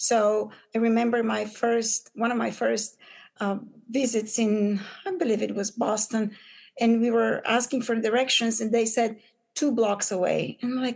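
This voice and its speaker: A woman talks in a Bulgarian accent at a fairly high pitch. Her pace is moderate and her intonation fairly even. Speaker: business owner, pattern maker. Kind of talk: podcast interview. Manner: halting, many fillers.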